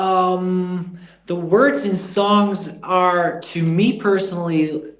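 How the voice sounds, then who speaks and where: In a Dutch accent, a high-pitched man speaks at a very slow pace with fairly even intonation, and audible room echo is present. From Netherlands, Groningen. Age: 20s. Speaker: singer and YouTuber. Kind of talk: interview. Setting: video call.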